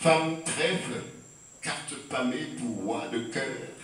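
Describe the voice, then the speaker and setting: Amid noticeable background noise, a man with a fairly high voice speaks at a very slow pace with ordinary pitch variation. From Martinique. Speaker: poet and storyteller. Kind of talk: poetry reading. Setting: live audience.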